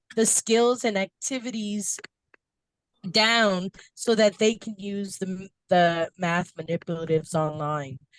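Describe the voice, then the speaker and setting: A woman with an American accent speaks at a fairly slow pace with lively intonation in a dry, close sound with no echo. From New York, Brooklyn. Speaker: workshop facilitator. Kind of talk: online training workshop. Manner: animated.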